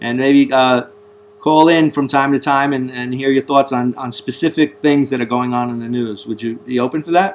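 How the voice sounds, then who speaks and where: Speaking at a moderate pace in a Bronx accent, a man keeps a medium pitch and fairly even intonation. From US Northeast, the Bronx, New York. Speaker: talk show host. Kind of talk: interview. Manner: halting, repeats words.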